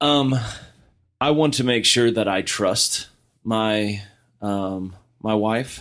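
A man speaks very slowly at a fairly low pitch, with long, frequent pauses. His loudness stays very even and his pitch varies in an ordinary way. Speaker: married guest sharing his story. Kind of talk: casual chat, personal storytelling.

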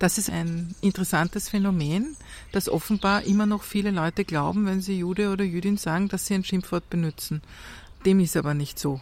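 A woman with an unremarkable speaking voice, medium pitch, ordinary pitch variation and a fairly quick pace. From Austria, Vienna. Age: 50s. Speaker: journalist and author. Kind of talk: interview. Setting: outdoors in a courtyard.

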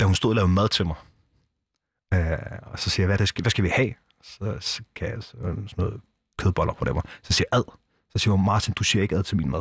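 Somewhat breathy and fairly low in pitch, a man speaks at a very fast pace with ordinary pitch variation. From southern Zealand, Denmark. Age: 30s. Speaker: former biker gang member, nonprofit director. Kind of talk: interview. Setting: studio.

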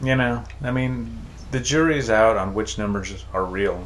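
Noticeable background noise runs beneath speech delivered at a fairly slow pace. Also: man. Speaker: podcast host. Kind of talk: casual comedy chat podcast. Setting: studio, standing at microphone.

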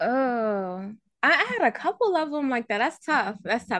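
In an American accent, a woman speaks in a plain, everyday voice at a fairly high pitch. Her pace is fairly quick, her intonation lively, and the sound dry and close with no echo. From Baltimore, Maryland. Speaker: author and YouTuber. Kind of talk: casual interview chat.

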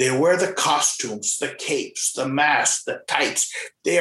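What comes through is an unforced reading voice.

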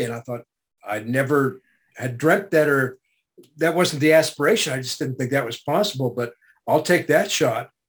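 He has a plain, everyday voice, pitched fairly high for a man. The pace is moderate, with ordinary pitch variation. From Canada. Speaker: voice actor. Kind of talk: interview.

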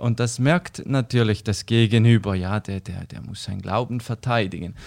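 The recording is very clean, with a silent background. Delivery comes at a moderate pace with ordinary pitch variation. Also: man. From eastern Switzerland, St. Gallen. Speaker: missionary organisation worker. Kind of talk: casual interview chat. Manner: hesitant, many fillers.

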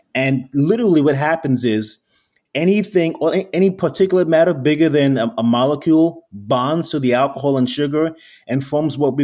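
A man with a New York accent, fairly high in pitch, with lively intonation. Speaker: spirits founder. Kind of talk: interview.

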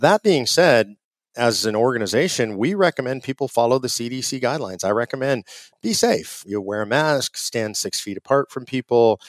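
This is a plain, everyday voice with an American accent. The intonation is lively and the pace moderate. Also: man, medium pitch for a man. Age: 50s. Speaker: conservative activist group president. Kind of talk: interview. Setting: remote call from home.

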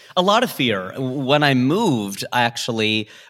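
On a very clean recording with a silent background, a man with an American accent speaks in a bright, sharp tone. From US Midwest, Cincinnati, Ohio. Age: 40s. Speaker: stand-up comedian. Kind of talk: casual interview chat with comic asides.

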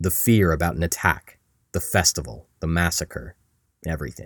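A man speaks in a very deep, low pitch with vocal fry and a dramatic tone, at a moderate pace. His pitch varies in an ordinary way, and the sound is dry and close with no echo. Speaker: podcast host and narrator. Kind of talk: history documentary narration, storytelling podcast. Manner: dramatic, vivid storytelling with wry, conversational humor; measured, clear, scripted delivery.

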